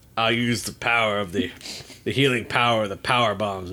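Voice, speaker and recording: In a put-on, gruff character voice, a man drawls at a moderate pace with medium pitch and fairly even intonation. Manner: slow, gruff drawl.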